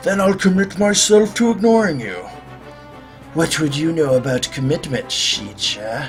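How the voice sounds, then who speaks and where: Against clear music in the background, a man puts on a character voice at a fairly high pitch. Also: moderate pace. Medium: role play.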